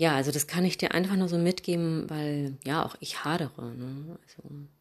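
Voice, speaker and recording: In a very clean recording with a silent background, a woman with a very deep, low pitch speaks at a moderate pace with fairly even intonation. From Hamburg, northern Germany. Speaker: yoga teacher. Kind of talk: podcast monologue, advice.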